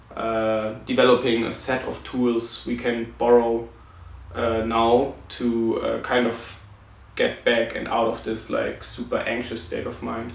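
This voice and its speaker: Audible room echo surrounds a man speaking at a fairly slow pace. He has a non-native accent. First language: not English. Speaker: vlogger with chronic illness. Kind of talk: personal reflection vlog. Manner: halting, many fillers.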